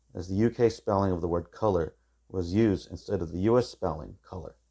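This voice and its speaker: A man with an American accent speaks at a fairly quick pace in a very deep, low voice. His tone is dark and mellow, with ordinary pitch variation. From California, US. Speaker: teacher. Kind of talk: tutorial. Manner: formal.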